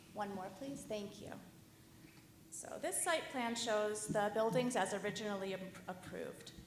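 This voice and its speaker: A woman talks amid noticeable background noise, and room echo is audible. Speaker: project architect presenting to commission. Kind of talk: formal presentation.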